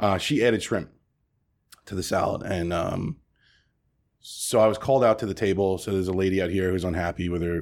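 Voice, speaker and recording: Talking at a very fast pace, a man with an American accent has a very deep, low pitch, and the recording is very clean with a silent background. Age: 30s. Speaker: restaurant owner. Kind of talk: interview. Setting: at his restaurant. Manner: halting.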